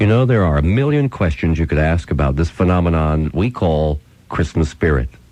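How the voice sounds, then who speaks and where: A man with an American accent and a very deep, low pitch, fairly quick and lively in intonation, at very even loudness, over noticeable background noise. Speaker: radio host. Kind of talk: radio storytelling. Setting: radio broadcast recorded on cassette.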